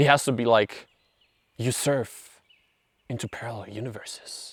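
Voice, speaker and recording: A man speaks at a medium pitch with a non-native accent. The recording is very clean, with a silent background. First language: not English. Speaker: self-help video creator. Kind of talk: casual monologue. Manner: animated.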